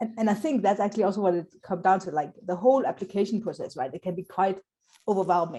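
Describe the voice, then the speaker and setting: A woman with a non-native accent speaks at a very fast pace in a dark, mellow tone, her pitch medium and its variation ordinary. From South Africa. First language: not English. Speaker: Scrum trainer. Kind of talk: interview.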